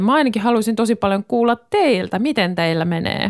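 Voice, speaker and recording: Heard dry and close with no echo, a woman with an unremarkable speaking voice talks at a moderate pace with ordinary pitch variation. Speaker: radio host. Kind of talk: casual chat. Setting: home studio.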